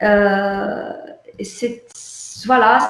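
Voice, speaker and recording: A woman in an Arabic accent, with audible room echo. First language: Arabic (speaking French). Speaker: visual artist. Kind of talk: online artist interview. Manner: halting, many repetitions.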